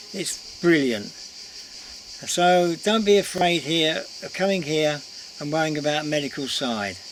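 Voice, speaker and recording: Someone with an English accent speaks at a very slow pace over noticeable background noise. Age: 70s. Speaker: vlogger. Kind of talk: casual vlog talk to camera. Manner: chatty, informal.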